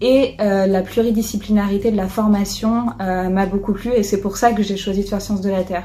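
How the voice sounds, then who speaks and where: A woman speaks with monotone, flat intonation as music plays in the background. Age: 20s. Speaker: engineer and entrepreneur. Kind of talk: testimonial interview. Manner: hesitant, many fillers.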